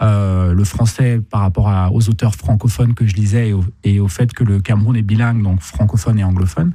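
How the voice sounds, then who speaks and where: This man has a fairly low, dark, mellow voice that is somewhat breathy. He talks at a fairly quick pace with hardly any pauses, keeping his loudness very even and his pitch variation ordinary. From Cameroon. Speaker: poet and artist. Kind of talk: radio interview. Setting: radio studio.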